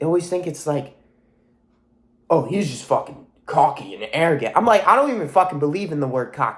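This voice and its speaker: Here a man speaks at a fairly high pitch and a fairly quick pace. His tone is animated and his intonation lively. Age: young. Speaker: motivational vlogger. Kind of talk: motivational monologue. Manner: loud.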